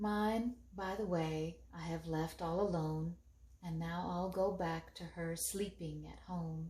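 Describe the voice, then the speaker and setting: A woman puts on a character voice with a fairly low pitch and speaks at a very slow pace. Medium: read story. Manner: roaring, booming.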